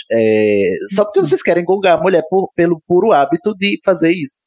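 A high-pitched man speaks with very wide pitch swings. The sound is dry and close, with no echo. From Brazil. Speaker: podcaster. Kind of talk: casual chat.

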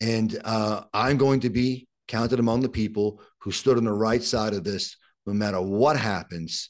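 The speaker has a strong Brooklyn accent. The intonation stays fairly even. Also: man, medium pitch for a man, moderate pace. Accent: strong Brooklyn New York. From Brooklyn, New York, Puerto Rican family. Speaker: criminal defense attorney. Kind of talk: interview conversation. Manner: repetitive, halting starts.

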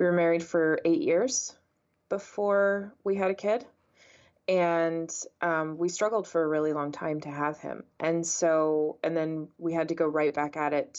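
A woman with an American accent has a normal speaking voice. Her pitch is fairly low, her pace moderate and her pitch variation ordinary. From San Antonio, Texas. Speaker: ad tech company co-founder. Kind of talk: interview.

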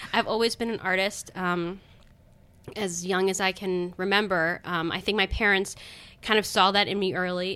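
A woman speaks in a normal speaking voice at a medium pitch and a moderate pace, with fairly even intonation. The recording is very clean, with a silent background. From Baltimore County, Maryland. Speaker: comedian and designer. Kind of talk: casual interview chat.

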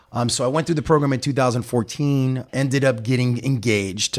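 A man with an American accent and a normal speaking voice, medium pitch and ordinary pitch variation, on a very clean recording with a silent background. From Miami area, Florida (Hialeah). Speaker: chamber of commerce president. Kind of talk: interview.

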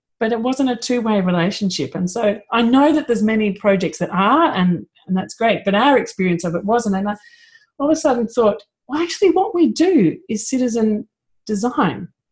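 A woman with an Australian accent speaks at a fairly quick pace in a somewhat breathy, fairly high voice, her intonation lively. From Australia (Victoria suburbs). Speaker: permaculture teacher and designer. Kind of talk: casual chat. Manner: fast.

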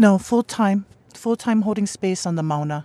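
A voice with a Hawaiian accent moves at a fairly quick pace. The sound is dry and close, with no echo. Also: woman. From Hawaii, Oahu (Makaha). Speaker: professor of Hawaiian religion, protest camp organizer. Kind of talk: interview.

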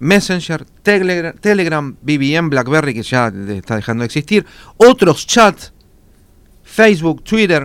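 A man talks fairly slowly at a fairly high pitch. His pitch swings very widely. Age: 40s. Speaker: public relations consultant. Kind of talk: radio interview.

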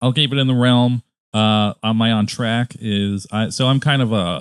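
A plain, everyday voice, a man's, fairly low-pitched, with an American accent at a moderate pace. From Connecticut. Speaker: podcast host. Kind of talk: casual chat.

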